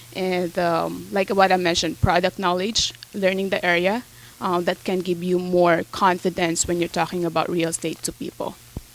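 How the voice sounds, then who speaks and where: In a Filipino accent, a woman speaks at a moderate pace with a fairly low pitch and monotone, flat intonation. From Philippines. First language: Tagalog. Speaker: real estate agent. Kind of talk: interview. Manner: hesitant, many fillers.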